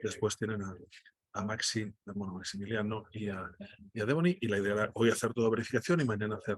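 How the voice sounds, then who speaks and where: In a Catalan accent, a man talks at a very fast pace with a fairly low pitch. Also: ordinary pitch variation. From Catalonia, Spain. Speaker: data journalist. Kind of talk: online workshop presentation. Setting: video call from airport restaurant. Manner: halting, many repetitions.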